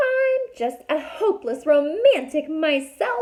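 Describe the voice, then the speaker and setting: A woman puts on a squeaky, high-pitched character voice, speaking at a fairly slow pace with very wide pitch swings. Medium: read story. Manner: airy and engaging, flirtatious.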